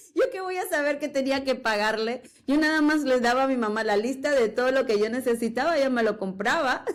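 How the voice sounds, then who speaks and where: High-pitched, a woman speaks at a fairly quick pace with hardly any pauses. Her pitch variation is ordinary. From Peru, Lima. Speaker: entrepreneur. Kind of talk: interview.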